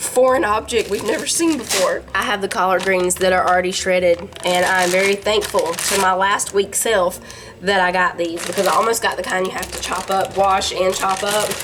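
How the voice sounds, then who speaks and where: A woman with a Southern US accent talks at a moderate pace and medium pitch amid noticeable background noise. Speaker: home cooking vlogger. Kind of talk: casual cooking vlog chat.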